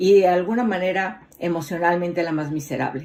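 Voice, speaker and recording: A woman speaks at a moderate pace. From Mexico City. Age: 50s. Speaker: motivational speaker. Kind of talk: motivational talk.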